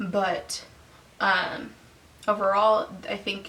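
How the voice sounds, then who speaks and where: There is noticeable noise behind the speaker. She is a woman. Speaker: vlogger and opera student. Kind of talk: casual vlog monologue. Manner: casual, with many fillers.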